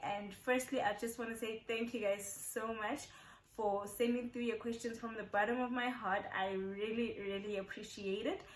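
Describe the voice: A woman at fairly high pitch with fairly even intonation, in audible room echo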